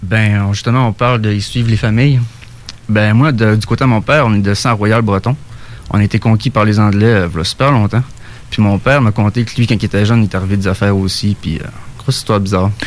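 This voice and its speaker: A man talks at a very fast pace with fairly even intonation. His pitch is fairly low, and there is noticeable background noise. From Saguenay, Quebec. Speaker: UFO witness. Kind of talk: storytelling. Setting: studio.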